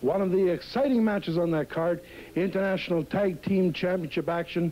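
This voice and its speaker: Speaking fairly quickly, a man has a high pitch, a dark, mellow tone and ordinary pitch variation. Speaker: wrestling announcer. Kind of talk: TV event promo announcement. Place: studio. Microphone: handheld.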